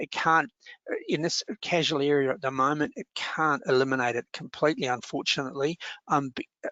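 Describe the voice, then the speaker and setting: Fairly quick speech with an Australian accent and ordinary pitch variation. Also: man, fairly high pitch for a man. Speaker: workplace relations adviser. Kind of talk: webinar Q&A. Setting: online webinar. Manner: fast; halting, many fillers.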